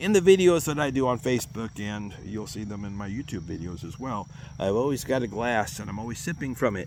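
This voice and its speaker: Talking at a fairly quick pace, a man at a medium pitch uses lively intonation and big swings in loudness. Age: 60s. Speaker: vlogger with multiple sclerosis. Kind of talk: casual personal vlog. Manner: halting, with hesitations.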